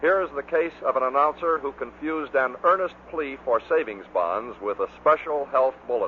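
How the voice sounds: At a moderate pace, a man talks with medium pitch and lively intonation.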